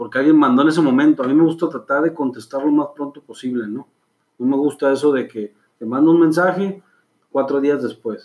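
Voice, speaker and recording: A man with a fairly high pitch talks at a fairly quick pace, his intonation rising and falling in an ordinary way. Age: 40s. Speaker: clothing brand founder. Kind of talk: interview. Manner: halting.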